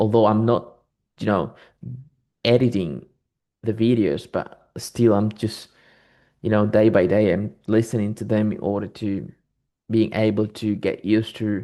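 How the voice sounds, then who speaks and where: A man with a non-native accent and a fairly low pitch, fairly slow pace, long, frequent pauses, dark, mellow tone, and fairly even intonation, against a quiet background. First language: not English. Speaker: English learner. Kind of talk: casual chat. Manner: halting.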